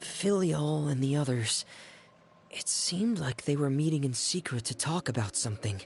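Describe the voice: A man puts on a character voice with lively intonation, a fairly high pitch and a slightly husky edge. Vocal fry shows up as he moves at a moderate pace.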